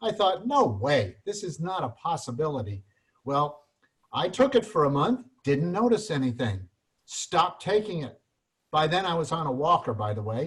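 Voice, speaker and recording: With vocal fry and very wide pitch swings, a man speaks at a moderate pace in a fairly high voice. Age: 70s. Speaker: retired product distributor. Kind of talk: testimony.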